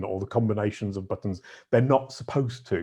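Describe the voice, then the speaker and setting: A man talks at a fairly quick pace in a dark, mellow tone. His voice is somewhat breathy against a quiet background. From northern England, Yorkshire. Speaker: SEO consultant. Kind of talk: podcast interview. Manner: halting, many fillers.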